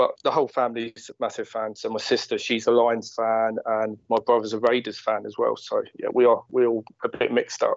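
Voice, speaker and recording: This man has a southern English accent. He speaks at a fairly quick pace. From Watford, southern England. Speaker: sports fan. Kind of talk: interview.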